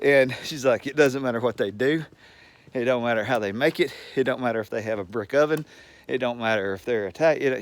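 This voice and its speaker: In a Southern US accent, a man with a medium pitch talks in an animated tone with ordinary pitch variation on a very clean recording with a silent background. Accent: Southern US drawl. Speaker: retiree. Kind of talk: casual talk to camera. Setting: outdoors. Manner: rambling, animated.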